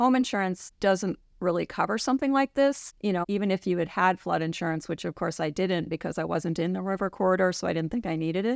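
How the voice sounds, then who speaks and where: A woman with an American accent, at a medium pitch, with lively intonation, a very fast pace and hardly any pauses, against a quiet background. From New York City suburbs. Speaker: physician assistant. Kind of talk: interview.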